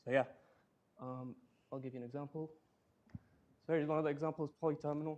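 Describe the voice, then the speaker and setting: A man talks at a very fast pace. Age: 20s. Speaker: tech speaker, crypto worker. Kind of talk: conference lightning talk. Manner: halting, many fillers.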